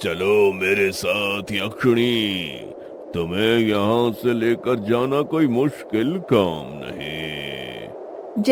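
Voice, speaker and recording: A cartoonish character voice from a man, fairly low in pitch, menacing in tone, at a very slow pace over loud background noise. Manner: arrogant, menacing.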